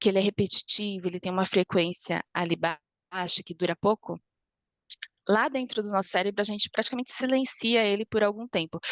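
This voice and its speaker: Dry and close with no echo, a woman's voice at medium pitch moves at a fairly quick pace. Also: ordinary pitch variation. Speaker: lecturer, architect and neuroscience student. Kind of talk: online lecture. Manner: fast.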